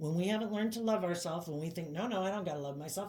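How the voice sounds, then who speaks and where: A woman with a dark, mellow tone is heard with audible room echo. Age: 50s. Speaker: tarot reader. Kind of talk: tarot reading monologue. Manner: casual, conversational.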